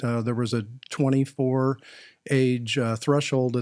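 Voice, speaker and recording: With an American accent, a man speaks at a medium pitch and a fairly slow pace in a monotone, flat intonation, in a very clean recording with a silent background. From Wisconsin, US Midwest. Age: 60s. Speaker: HR executive. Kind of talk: casual interview.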